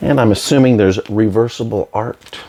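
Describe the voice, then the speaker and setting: Quiet and fairly low-pitched, a man speaks at a fairly slow pace. Noticeable background noise can be heard. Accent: American. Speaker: YouTuber reviewing movie releases. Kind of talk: casual unboxing show-and-tell. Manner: hesitant, many fillers.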